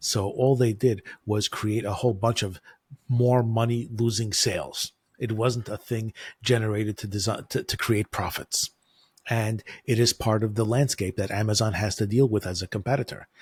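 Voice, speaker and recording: With a dry, close sound, no echo and a very clean, silent background, a man of medium pitch speaks somewhat breathily at a moderate pace in a monotone, flat delivery. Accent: American. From United States. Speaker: e-commerce advertising consultant. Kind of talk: interview.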